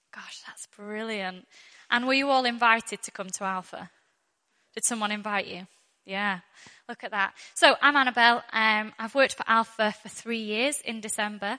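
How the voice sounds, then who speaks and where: A woman with a northwest English accent speaks at a moderate pace in a fairly high, bright, sharp voice with fairly even intonation and big swings in loudness. The recording is very clean, with a silent background. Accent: northwest English, fairly thick. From northwest England. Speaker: church Alpha course worker and speaker. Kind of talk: church talk with testimony and prayer. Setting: church with audience.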